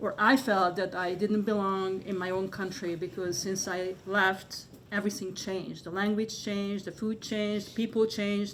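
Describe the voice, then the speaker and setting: In a Hungarian accent, a woman speaks at a medium pitch with hardly any pauses. Her intonation is monotone and flat. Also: moderate pace. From Hungary. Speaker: artist. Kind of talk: panel discussion. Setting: gallery with live audience. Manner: halting, many fillers.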